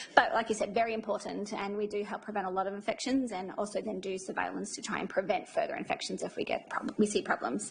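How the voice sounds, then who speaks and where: A woman talks at a very fast pace with hardly any pauses, ordinary pitch variation, and noticeable background noise. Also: medium pitch for a woman. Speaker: infection control nurse. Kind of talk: presentation to audience. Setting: room with live audience.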